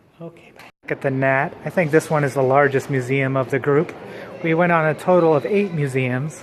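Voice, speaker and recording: A fairly high-pitched man with fairly even intonation and a fairly quick pace, over noticeable background noise. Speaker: travel vlogger. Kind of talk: casual vlog narration.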